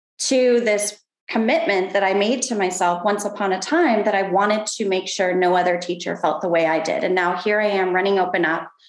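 A woman speaks in an ordinary speaking voice at a medium pitch, with ordinary pitch variation. Her loudness stays very even, and she talks at a fairly quick pace with hardly any pauses. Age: 40s. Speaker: education nonprofit CEO. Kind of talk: casual interview.

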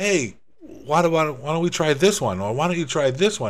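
Lively intonation marks this man's speech. He talks in an American accent. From US Northeast (Rhode Island/Massachusetts). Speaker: podcast host, home bartender, former DJ. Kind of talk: casual solo monologue.

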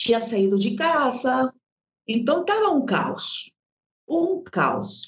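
A woman with a high pitch speaks at a very slow pace, her pitch swinging very widely while her loudness stays very even, with long, frequent pauses. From Peru. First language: Spanish (speaking Portuguese). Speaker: actress and storyteller. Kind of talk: interview.

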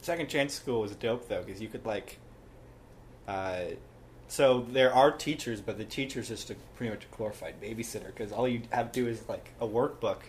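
A man with a somewhat breathy voice talks at a fairly quick pace with ordinary pitch variation. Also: medium pitch for a man. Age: 20s. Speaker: podcast guest. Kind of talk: casual chat. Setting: home recording.

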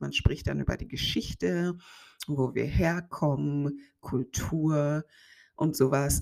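The delivery is very slow. The recording is very clean, with a silent background. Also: woman. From Germany. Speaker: podcast host, life coach. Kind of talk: solo podcast monologue.

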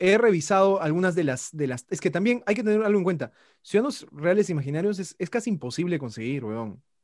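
A man's high-pitched voice with lively intonation at a fairly quick pace, in a very clean recording against a silent background. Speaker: social science graduate. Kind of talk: casual chat.

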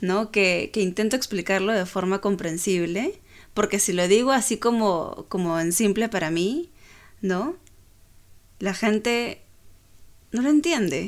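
A woman speaks at a medium pitch and a fairly slow pace, with lively intonation and long, frequent pauses. The recording is very clean, with a silent background. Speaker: podcast co-host. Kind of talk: casual chat. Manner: calm.

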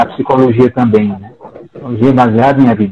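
A man's medium-pitched voice at a moderate pace, over noticeable background noise. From Brazil, Paraíba (Campina Grande). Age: 50s. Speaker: psychologist and professor. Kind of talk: casual discussion.

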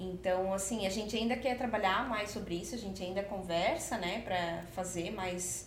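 A woman talks at a moderate pace with medium pitch and ordinary pitch variation. Room echo is audible around her voice. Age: 30s. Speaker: confectioner and entrepreneur. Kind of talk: podcast interview.

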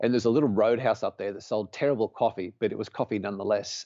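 A man speaks with an Australian accent. His medium-pitched voice moves at a very fast pace. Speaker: podcast guest, charity supporter and volunteer firefighter. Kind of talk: casual interview chat.

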